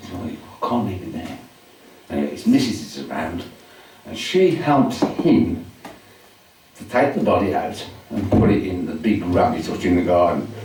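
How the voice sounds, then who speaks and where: Amid noticeable background noise, a man speaks at a moderate pace with long, frequent pauses and big swings in loudness. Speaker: solicitor and storyteller. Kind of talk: spoken word storytelling to a live audience. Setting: live venue with audience.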